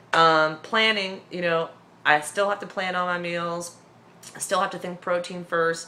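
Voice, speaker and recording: A woman speaks at a fairly low pitch and fairly slow pace with fairly even intonation over noticeable background noise. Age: 30s. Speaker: weight-loss surgery vlogger. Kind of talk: casual vlog update.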